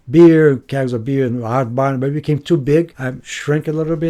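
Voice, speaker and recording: In a Brazilian accent, a man speaks at a moderate pace with a fairly high pitch, a dark, mellow tone and fairly even intonation. The recording is very clean, with a silent background. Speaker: retreat center staff member. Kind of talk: interview.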